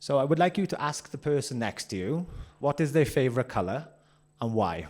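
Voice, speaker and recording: With a Welsh accent, a man speaks fairly quickly at a fairly high pitch with vocal fry, on a very clean recording with a silent background. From Wales. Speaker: workshop presenter. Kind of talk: interactive workshop. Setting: conference room with audience. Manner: fast.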